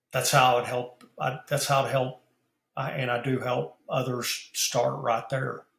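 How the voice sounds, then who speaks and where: A man's medium-pitched, monotone, flat voice with vocal fry at a fairly slow pace. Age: 60s. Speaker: business founder and mentor. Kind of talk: podcast interview. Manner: halting, many fillers and repeats.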